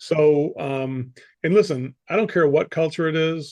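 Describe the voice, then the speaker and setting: An unremarkable speaking voice from a man with an American accent, fairly high pitch and lively intonation, is set against a quiet background. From United States. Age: 60s. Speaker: sales coach. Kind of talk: interview.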